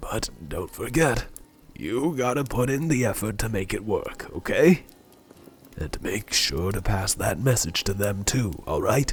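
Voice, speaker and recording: Using a put-on character voice, a man speaks at a medium pitch and a fairly slow pace with very wide pitch swings. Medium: solo performance. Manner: folksy, warm, chuckling.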